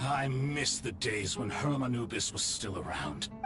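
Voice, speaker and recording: Over loud background noise, a man does a put-on character voice at medium pitch and a moderate pace. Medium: solo performance. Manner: dry, mocking.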